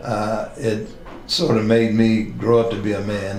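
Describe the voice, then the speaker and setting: Fairly low male voice amid noticeable background noise and audible room echo. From West Virginia (Charleston, East End). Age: 70s. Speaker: retired police captain. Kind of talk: oral history interview. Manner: halting, many fillers.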